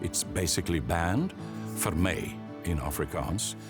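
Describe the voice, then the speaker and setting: Music plays behind a man whose very deep, low voice swings very widely in pitch as he speaks at a very slow pace. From South Africa. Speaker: voice artist and broadcaster. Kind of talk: interview answer.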